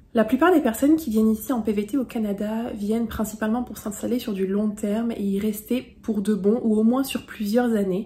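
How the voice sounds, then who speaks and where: Fairly even intonation is heard against noticeable background noise. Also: woman. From France. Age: 20s. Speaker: travel vlogger. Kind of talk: vlog tutorial. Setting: facecam video.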